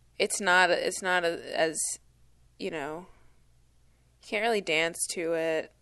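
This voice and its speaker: A woman's fairly low, bright, sharp voice at a very slow pace, with long, frequent pauses, fairly even intonation, and a quiet background. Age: 20s. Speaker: podcast co-host. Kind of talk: casual chat.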